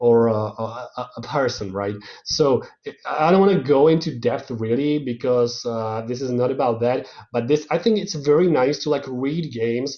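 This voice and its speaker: At a moderate pace, a man with a non-native accent talks at a medium pitch with ordinary pitch variation. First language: not English. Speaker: guest lecturer on games and culture. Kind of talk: online lecture. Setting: online video lecture. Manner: halting, many fillers and repetitions.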